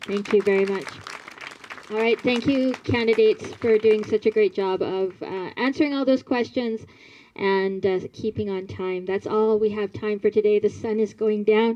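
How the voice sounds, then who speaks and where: Fairly even intonation and a moderate pace from a woman, with noticeable background noise. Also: fairly high pitch for a woman. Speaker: forum moderator. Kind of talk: moderating a candidates forum. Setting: community hall with live audience.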